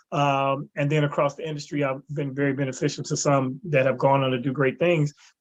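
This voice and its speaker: A man with an American accent, fairly high-pitched and monotone with flat intonation, at a fairly quick pace. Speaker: comedian. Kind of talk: interview. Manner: stutter.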